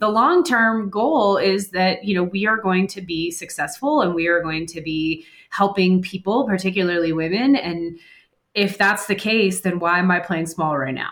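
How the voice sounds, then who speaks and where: Speaking at a moderate pace and a medium pitch, a woman with an unremarkable speaking voice shows ordinary pitch variation. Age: 30s. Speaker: financial advisor. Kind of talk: interview.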